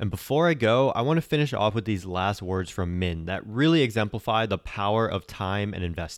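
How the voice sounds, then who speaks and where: An ordinary speaking voice with lively intonation, a fairly quick pace and hardly any pauses, on a very clean recording with a silent background. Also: man, fairly low pitch for a man. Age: 20s. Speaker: personal finance podcast host. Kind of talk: scripted narration.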